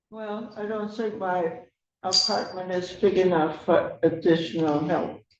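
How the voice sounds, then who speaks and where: Audible room echo surrounds a woman speaking at a medium pitch. She talks at a fairly slow pace with ordinary pitch variation. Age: 80s+. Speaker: tenant. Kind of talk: court hearing. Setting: courtroom.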